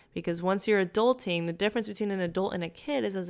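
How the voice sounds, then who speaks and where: A woman speaks with a Spanish accent at a medium pitch for a woman, with ordinary pitch variation. The recording is very clean, with a silent background. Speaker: life coach and yoga instructor podcast host. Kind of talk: solo podcast monologue.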